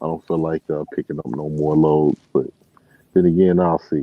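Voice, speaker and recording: Over music in the background, a man with an American accent speaks in a very deep, low voice with monotone, flat intonation. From Chicago, US Midwest. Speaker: truck driver. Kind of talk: casual chat.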